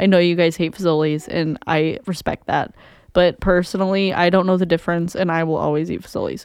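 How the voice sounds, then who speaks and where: The speech runs at a fairly quick pace in a flat monotone. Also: woman, fairly low pitch for a woman. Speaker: podcast co-host. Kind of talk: casual chat. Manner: calm, steady.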